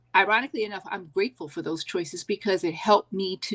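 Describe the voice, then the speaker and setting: This woman has an unremarkable speaking voice, medium in pitch with ordinary variation, at a fairly quick pace. The very clean recording has a silent background and a dry, close sound with no echo. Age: 60s. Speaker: podcast guest, educator. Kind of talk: interview conversation. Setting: live stream.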